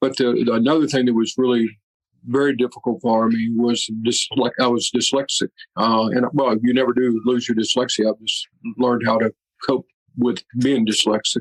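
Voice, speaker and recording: The man speaks at a medium pitch and moderate pace in a flat monotone, his loudness very even and the sound dry and close with no echo. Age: 60s. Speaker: writer and film director. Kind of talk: interview conversation. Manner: halting, many fillers and repeated words.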